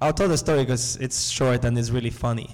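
A man's voice with audible room echo. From Nicaragua. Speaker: breathwork facilitator and community organizer. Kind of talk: live panel discussion, personal stories. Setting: seminar stage with audience.

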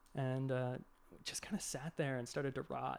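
A man speaks at a fairly quick pace with an American accent, his intonation monotone and flat. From Boston, Massachusetts. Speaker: art director. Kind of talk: casual chat. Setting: in-person recording, live streamed.

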